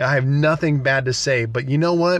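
Somewhat breathy and with an American accent, a man talks at a moderate pace with ordinary pitch variation. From US Midwest, small-town Nebraska. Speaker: pastor. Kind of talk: solo podcast talk, sermon-like. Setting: small studio.

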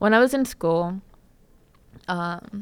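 A woman talks with a fairly low pitch and pitch that varies in an ordinary way. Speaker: podcast host. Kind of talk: casual solo storytelling podcast. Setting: live stream. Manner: halting, self-correcting, conversational.

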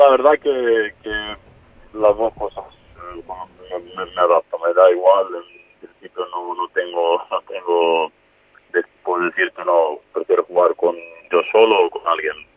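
A man speaking at a fairly slow pace, with long, frequent pauses and big swings in loudness. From Serbia, raised partly in Spain. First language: Serbian (speaking Spanish). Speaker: professional footballer. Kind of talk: interview.

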